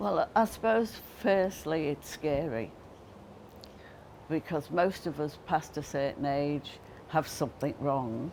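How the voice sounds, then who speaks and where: Very slowly and with long, frequent pauses, a woman speaks at a very deep, low pitch with lively intonation. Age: old. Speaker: community centre committee member. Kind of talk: interview answer.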